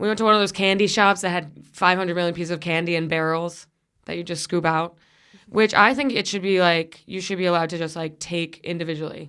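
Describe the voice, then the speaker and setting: A bright, sharp tone at a very fast pace, on a very clean recording with a silent background. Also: woman. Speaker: comedian and podcast host. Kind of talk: casual chat. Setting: studio.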